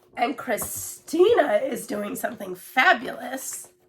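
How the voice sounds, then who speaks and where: A woman's high-pitched voice with very wide pitch swings over noticeable background noise. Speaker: cross-stitch hobbyist. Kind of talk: casual talk to camera.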